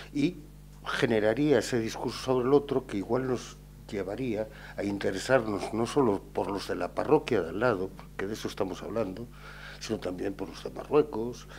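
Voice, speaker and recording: An unremarkable speaking voice delivered at a moderate pace with ordinary pitch variation. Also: man, medium pitch for a man. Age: 50s. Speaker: writer. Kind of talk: panel discussion.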